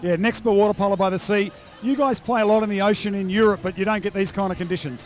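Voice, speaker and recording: Over noticeable background noise, a man with an Australian accent talks at a very fast pace in a high pitch, his intonation fairly even. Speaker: poolside sports reporter. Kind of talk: post-match interview.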